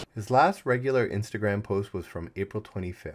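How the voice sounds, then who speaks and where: A man speaks in an ordinary speaking voice with fairly low pitch. His pace is moderate. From Canada. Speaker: travel YouTuber. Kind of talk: scripted narration.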